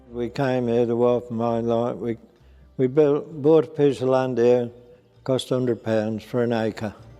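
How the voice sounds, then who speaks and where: With music in the background, a man speaks in a flat monotone at a medium pitch and a fairly slow pace. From Norfolk fens, England. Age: 80s+. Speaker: sugar beet farmer. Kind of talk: interview answer.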